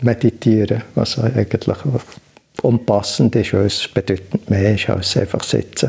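A medium-pitched man with ordinary pitch variation, against noticeable background noise. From Switzerland, Bern. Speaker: meditation teacher. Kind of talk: interview. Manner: hesitant, many filler sounds.

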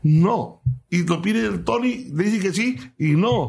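Fairly high male voice with very wide pitch swings. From Mexico, Chiapas (Cintalapa). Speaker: singer-songwriter. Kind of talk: interview.

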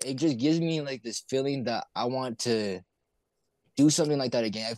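Lively intonation carries speech delivered at a very fast pace. The sound is dry and close with no echo, on a very clean recording with a silent background. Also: man. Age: young. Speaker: hip hop artist. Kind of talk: casual interview chat.

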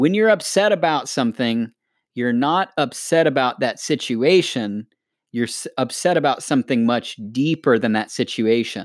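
A man with an American accent, medium in pitch, an ordinary speaking voice, lively intonation and a moderate pace, in a very clean recording with a silent background. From United States. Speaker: podcast co-host. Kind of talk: casual chat.

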